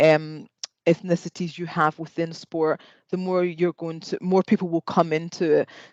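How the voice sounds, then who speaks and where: A woman talks with a Scottish accent in a dry, close sound with no echo. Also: quiet background. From Scotland. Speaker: podiatry lecturer and panel moderator. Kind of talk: panel discussion.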